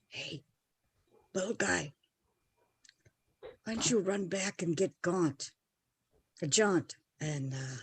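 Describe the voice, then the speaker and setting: Using a put-on character voice, a woman speaks raspy and at a fairly low pitch, going at a fairly slow pace with long, frequent pauses. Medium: actual play. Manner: blunt.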